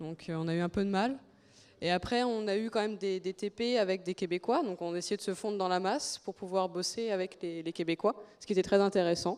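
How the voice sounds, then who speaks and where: The delivery is fairly quick, with fairly even intonation. It is a woman at medium pitch with an unremarkable speaking voice. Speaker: former student. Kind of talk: interview.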